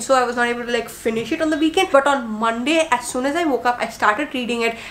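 Noticeable background noise sits behind a woman talking at a very fast pace. Her voice is high, with ordinary pitch variation. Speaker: book reviewer. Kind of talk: casual monologue video. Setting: home video recording. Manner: warm, chatty.

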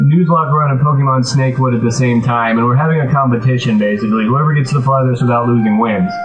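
A man talking at a very fast pace with ordinary pitch variation over clear background music. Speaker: gaming vlogger. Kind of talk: casual vlog chat. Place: home room. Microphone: webcam.

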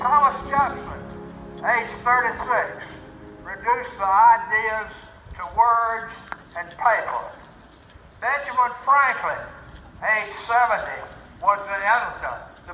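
A man's raised, projected voice with an American accent, extremely high in pitch, with ordinary pitch variation, a very slow pace and long, frequent pauses, over noticeable background noise. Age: 80s+. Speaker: war veteran. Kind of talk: reading a historic document aloud to a gathering.

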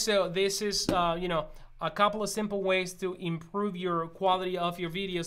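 The man's voice sits high in pitch as he talks at a moderate pace. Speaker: gear reviewer. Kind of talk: tutorial. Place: studio.

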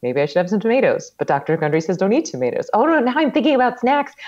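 A woman at medium pitch talks at a very fast pace with big pitch swings and a slightly mellow tone.

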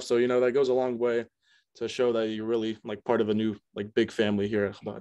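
Intonation stays fairly even. The background is quiet. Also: man. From US South, Myrtle Beach, South Carolina. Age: young. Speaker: college student. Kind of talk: interview. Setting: video call. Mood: warm, reflective. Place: home room. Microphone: video call.

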